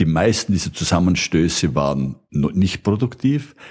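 At a moderate pace, a man speaks with a very deep, low pitch that swings very widely, a dark, mellow tone and vocal fry. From Austria, Burgenland. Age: 70s. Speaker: retired biochemistry professor. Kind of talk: popular science explanation.

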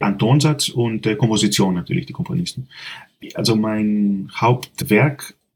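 With a Greek accent, a man speaks at a fairly low pitch and moderate pace, showing vocal fry and very wide pitch swings. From Greece, Athens. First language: Greek (speaking German). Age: 40s. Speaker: composer. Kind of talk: interview.

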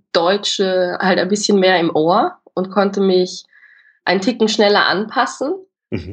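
A woman speaks in an Austrian accent at a fairly slow pace. Her pitch sits in the medium range. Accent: Austrian colouring. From Austria, Vienna. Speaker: drama student. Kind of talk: casual interview. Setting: video call.

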